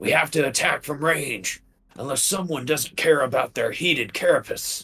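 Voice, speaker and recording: A man uses a raspy, put-on character voice at a fairly high pitch and a moderate pace. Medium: actual play.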